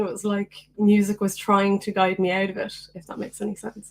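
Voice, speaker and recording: In an Irish accent, a woman with a medium pitch speaks at a moderate pace. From Ireland, County Meath. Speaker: singer-songwriter. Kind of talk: casual chat. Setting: video call.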